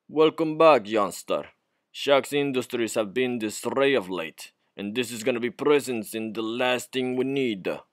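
A man puts on a gruff character voice at medium pitch. He speaks at a moderate pace. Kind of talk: reading game dialogue aloud. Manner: gruff, savage.

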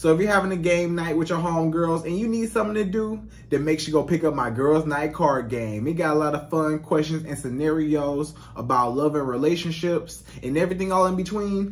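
At a fairly quick pace, the man speaks with ordinary pitch variation. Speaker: dating coach vlogger. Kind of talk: casual vlog chat. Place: home room. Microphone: studio mic.

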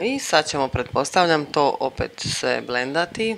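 A woman speaks with very wide pitch swings. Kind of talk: humorous voiceover commentary on makeup tutorial.

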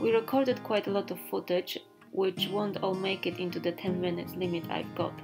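Music plays in the background as a woman speaks at a fairly quick pace. Her pitch is medium, with ordinary variation. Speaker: filmmaker and artist. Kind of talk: documentary voiceover narration.

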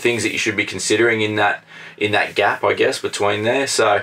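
The man's pace is fairly quick. His loudness stays very even. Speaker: travel vlogger. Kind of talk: casual vlog chat. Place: home room.

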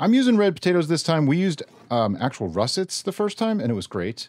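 The recording features a man against a quiet background. The sound is dry with no echo. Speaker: home cook host. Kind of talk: cooking tutorial. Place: kitchen.

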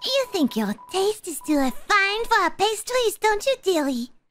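A woman does a put-on character voice at an extremely high pitch with very wide pitch swings. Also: moderate pace.

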